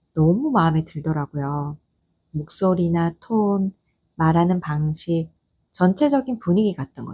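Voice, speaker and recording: Her voice dark and mellow, a woman speaks in a fairly low pitch with a calm tone, somewhat breathy, at a fairly slow pace yet with lively intonation, in a dry, close recording with no echo. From Gyeongsang region, South Korea. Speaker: office manager. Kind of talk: audio essay monologue. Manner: calm, unhurried.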